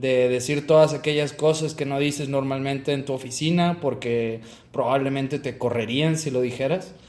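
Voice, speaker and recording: A man's normal speaking voice, fairly high in pitch, with fairly even intonation at a moderate pace. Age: 20s. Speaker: podcast co-host, mechatronics engineer. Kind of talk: casual chat.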